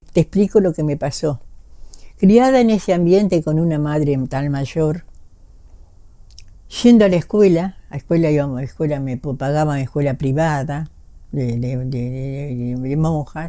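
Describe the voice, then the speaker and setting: A woman's very deep, low voice with a dark, mellow tone, lively intonation, a fairly slow pace and long, frequent pauses. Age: 80s+. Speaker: former tango dancer. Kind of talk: interview answer.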